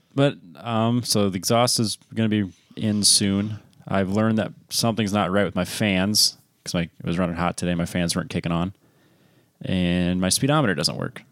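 A man's fairly low-pitched, normal speaking voice in a very clean recording with a silent background. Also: ordinary pitch variation, moderate pace. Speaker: podcast co-host. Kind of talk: casual chat.

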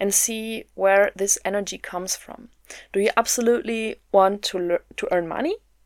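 A woman's voice with big swings in loudness and fairly even intonation, in a dry, close sound with no echo. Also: medium pitch for a woman, moderate pace. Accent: German. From Germany. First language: German. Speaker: podcast host, mindset coach. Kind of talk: solo motivational podcast talk.

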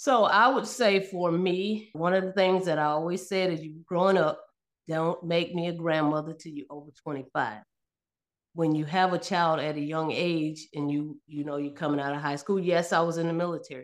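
A woman with a plain, everyday voice, in an American accent, fairly low in pitch, at a moderate pace with ordinary pitch variation. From upstate New York. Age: 50s. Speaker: military veteran and mother. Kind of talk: casual chat.

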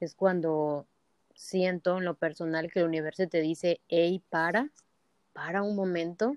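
Delivered at a moderate pace, a plain, everyday voice carries fairly even intonation. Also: woman. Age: 20s. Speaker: entrepreneur. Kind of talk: interview.

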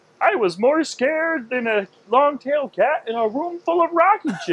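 Putting on a character voice, a man speaks at an extremely high pitch. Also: moderate pace. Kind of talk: folksy, colorful sayings.

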